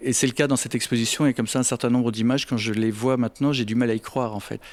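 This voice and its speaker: The recording is very clean, its background silent. The man talks at a very fast pace. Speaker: photographer. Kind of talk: interview answer. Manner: soft-spoken.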